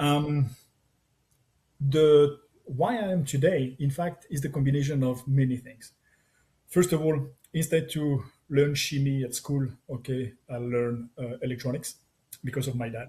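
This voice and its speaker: A somewhat breathy, dark, mellow voice in a French accent, at a moderate pace with fairly even intonation and long, frequent pauses. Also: man, fairly high pitch for a man. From France. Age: 60s. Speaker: tech entrepreneur. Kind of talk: interview. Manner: halting.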